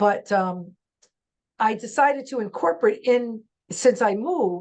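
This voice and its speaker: With an American accent, a woman talks at a fairly high pitch with lively intonation. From New York. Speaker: real estate agent. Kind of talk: casual chat. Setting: video call. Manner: loud.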